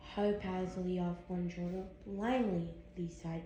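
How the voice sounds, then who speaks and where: A woman at a medium pitch, monotone and flat, at a fairly slow pace, with audible room echo and noticeable background noise. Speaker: fan fiction reader. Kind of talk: reading aloud. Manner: halting.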